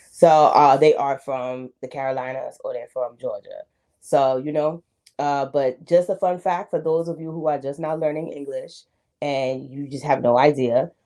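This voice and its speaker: A woman speaks at a moderate pace with a very deep, low pitch, a dark, mellow tone, fairly even intonation and big swings in loudness. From United States. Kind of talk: casual reaction commentary to camera.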